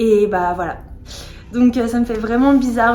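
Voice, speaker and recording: Over noticeable background noise, a woman talks at a moderate pace in a high, monotone, flat voice. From France, born in England. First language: English (speaking French). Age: 20s. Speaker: vlogger sharing eating disorder recovery story. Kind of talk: personal testimony vlog.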